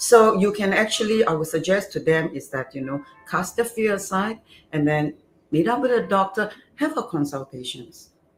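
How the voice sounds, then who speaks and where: With music in the background, a woman talks at a moderate pace and medium pitch, her voice moving in very wide pitch swings. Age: 60s. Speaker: beauty clinic founder. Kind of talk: casual interview. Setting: live stream, standing.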